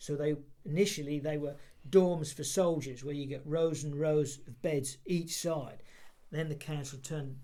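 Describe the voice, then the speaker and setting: A man talks at a moderate pace in a dark, mellow voice of fairly high pitch and fairly even intonation. Audible room echo and big swings in loudness mark the clip. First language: Polish. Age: 60s. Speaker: interviewee for heritage project. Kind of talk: oral history interview. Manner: halting, many repeated words.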